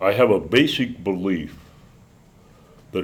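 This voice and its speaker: With ordinary pitch variation, a man speaks in a very deep, low voice. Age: 70s. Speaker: war veteran. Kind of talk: interview testimony.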